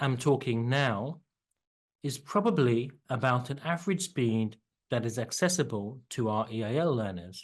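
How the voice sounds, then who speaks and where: A man speaks at a fairly slow pace with a medium pitch and lively intonation. It is a plain, everyday voice over a quiet background. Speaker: EAL teacher. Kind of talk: tutorial. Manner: clearly enunciated.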